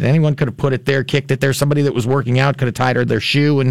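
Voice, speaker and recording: Talking at a very fast pace, a man with an American accent has a fairly high pitch. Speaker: lawyer and musician. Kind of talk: call-in radio legal advice. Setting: radio studio.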